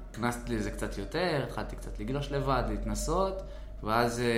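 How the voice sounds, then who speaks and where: Noticeable background noise and audible room echo accompany the voice of a man. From Israel, West Bank settlement. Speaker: surf club business owner. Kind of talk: interview storytelling.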